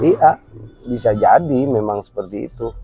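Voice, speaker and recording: Backed by music, a man delivers his words at a moderate pace. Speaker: vlogger. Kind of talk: casual chat.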